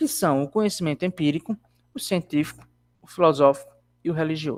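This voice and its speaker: A man is speaking with a fairly high voice. His pitch varies in an ordinary way. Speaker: university lecturer. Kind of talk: online lecture.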